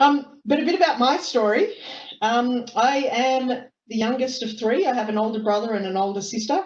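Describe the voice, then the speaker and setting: This speaker has lively intonation in an Australian accent. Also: woman, high pitch for a woman, moderate pace. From Australia, Melbourne. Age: 30s. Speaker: lawyer. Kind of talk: talk to youth sports team on webinar. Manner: hesitant, many fillers.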